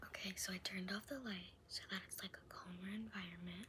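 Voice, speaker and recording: A woman whispering at a fairly quick pace. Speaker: ASMR creator. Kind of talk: casual talk to camera. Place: home room. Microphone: phone near.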